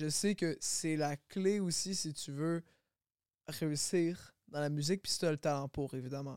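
A man with a plain, everyday voice and fairly high pitch speaks at a fairly slow pace with fairly even intonation. The sound is dry and close, with no echo. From Quebec, Longueuil. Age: 20s. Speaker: rapper. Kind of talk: casual chat.

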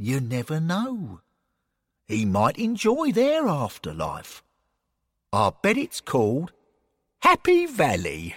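A man's put-on character voice, fairly high in pitch with very wide pitch swings, a slightly husky edge, slow pace and long, frequent pauses. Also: very clean recording, silent background.

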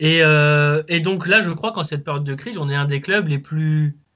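An unremarkable speaking voice from a man, moderate in pace and fairly high in pitch. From Lens area, northern France. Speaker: football fan channel creator. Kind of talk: casual chat.

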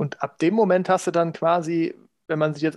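Against a quiet background, a man talks at a fairly quick pace. His pitch is high, and his intonation is fairly even. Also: dry, close sound with no echo. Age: 40s. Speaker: podcast co-host. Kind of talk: casual chat.

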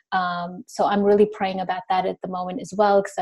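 The voice is somewhat breathy. It moves at a fairly quick pace. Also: woman. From India, raised in Sri Lanka and Indonesia. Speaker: beauty business owner. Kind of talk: interview answers.

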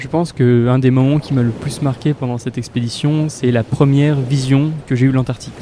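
A man's monotone, flat voice at medium pitch and moderate pace, with noticeable background noise. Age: 20s. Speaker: climate science student. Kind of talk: testimony.

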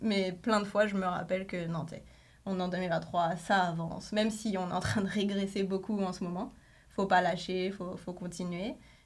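In a room with audible echo, a woman talks at a medium pitch with fairly even intonation. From France. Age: 30s. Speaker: journalist. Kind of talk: casual chat.

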